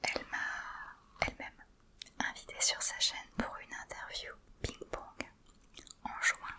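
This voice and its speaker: Whispering at a very slow pace, with long, frequent pauses, comes through noticeable background noise. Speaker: ASMR creator. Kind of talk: ASMR whispered talk. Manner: whispered.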